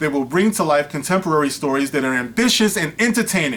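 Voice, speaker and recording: Lively intonation marks a man's fairly high-pitched voice. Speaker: online commentator. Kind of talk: commentary reading a news article aloud. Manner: fast; casual, filler-heavy.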